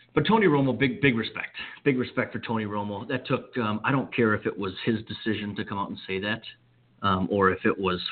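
A man with an American accent and a plain, everyday voice, fairly low in pitch with ordinary pitch variation, at a fairly quick pace. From Wisconsin, US Midwest. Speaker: sports radio host. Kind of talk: sports talk radio monologue.

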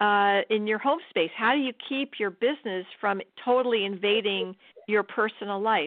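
This is a normal speaking voice at a moderate pace, with ordinary pitch variation and very even loudness. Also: woman, fairly high pitch for a woman. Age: 60s. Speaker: cancer survivor and writer. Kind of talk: interview.

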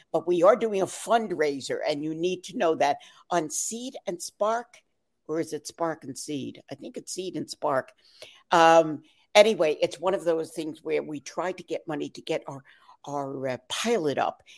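In an American accent and a normal speaking voice, a woman with a fairly low pitch talks at a moderate pace with lively intonation and big swings in loudness, the sound dry and close with no echo. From New York. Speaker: actress. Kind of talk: casual chat.

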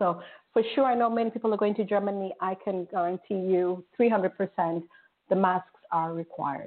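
A woman uses a normal speaking voice at medium pitch with ordinary pitch variation. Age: middle-aged. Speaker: internet radio host. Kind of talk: casual talk show chat.

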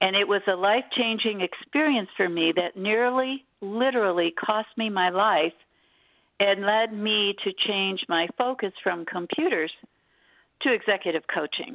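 A woman's unremarkable speaking voice with an American accent, medium in pitch with ordinary variation, fairly slow in pace and very even in loudness. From Detroit, Michigan. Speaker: executive coach. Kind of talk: interview.

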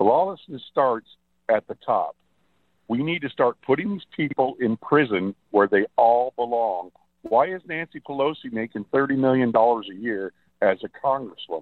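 With lively intonation, a man in an unremarkable speaking voice talks at a medium pitch and a moderate pace. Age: 60s. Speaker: radio show caller. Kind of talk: phone-in call.

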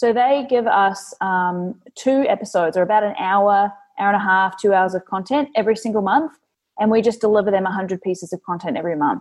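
With a New Zealand accent, a woman talks at a fairly quick pace and with ordinary pitch variation. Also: medium pitch for a woman. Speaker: content marketing agency owner. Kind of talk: interview.

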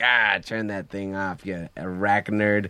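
A man's put-on character voice, fairly low in pitch and fairly slow, over a quiet background. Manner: comic, snarky.

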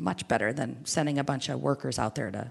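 A woman speaks with vocal fry. The background is quiet. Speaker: IoT partnerships director. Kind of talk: interview. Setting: live at a conference.

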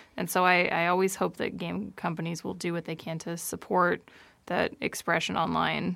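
A woman's fairly low, flat, monotone voice with vocal fry, at a moderate pace. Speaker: co-host and games writer. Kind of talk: casual chat.

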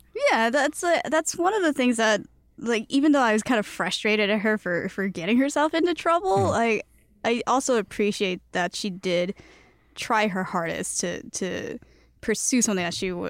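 At a moderate pace, a woman with a fairly high pitch speaks with very wide pitch swings, the sound dry and close with no echo. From Chicago, US. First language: Cantonese. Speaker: guest. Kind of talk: casual chat.

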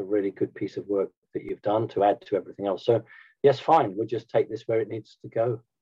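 In a British accent, a man talks at a fairly quick pace. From Britain. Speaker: spiritual movement founder. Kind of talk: interview.

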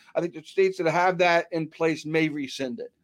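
A man with an American accent talks at a fairly quick pace in an ordinary speaking voice with fairly high pitch. The recording is very clean, with a silent background. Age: 50s. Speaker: sports writer and betting contributor. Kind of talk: casual chat.

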